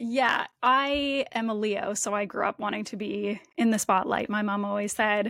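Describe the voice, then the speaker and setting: A woman with a Canadian accent has a fairly high pitch and a bright, sharp tone, speaking at a moderate pace with fairly even intonation and hardly any pauses. The recording is very clean with a silent background. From Canada, Windsor, Ontario. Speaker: nutritionist and podcast host. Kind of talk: interview conversation.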